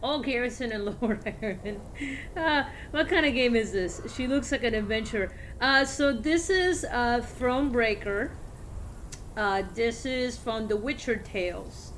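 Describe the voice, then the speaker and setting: High-pitched female voice, fairly slow, with lively intonation and audible room echo. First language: Spanish. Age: 40s. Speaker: video game streamer. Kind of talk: casual gameplay commentary. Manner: halting, many fillers.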